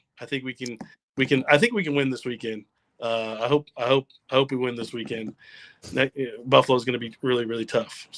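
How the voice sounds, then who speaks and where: In a put-on character voice, a man talks raspy and fairly quick at a medium pitch, with fairly even intonation, long and frequent pauses, and a dry, close sound with no echo. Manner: hesitant, unconvincing.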